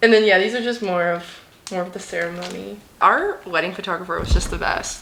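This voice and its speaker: Animated in tone, a woman talks at a very fast pace with a medium pitch and ordinary pitch variation over noticeable background noise. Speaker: lifestyle vlogger. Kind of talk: casual chat.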